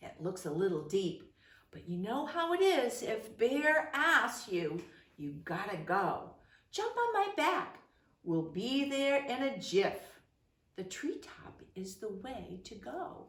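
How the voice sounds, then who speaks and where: Putting on a character voice, a woman speaks at a fairly slow pace with a fairly high pitch and very wide pitch swings, with a slight echo. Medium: read story.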